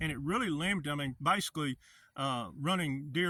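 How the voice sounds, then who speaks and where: A man's fairly high voice with an Arkansas accent, a bright, sharp tone and ordinary pitch variation. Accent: Southern US (Arkansas). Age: 60s. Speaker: hunter, outdoor vlogger. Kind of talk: casual vlog monologue.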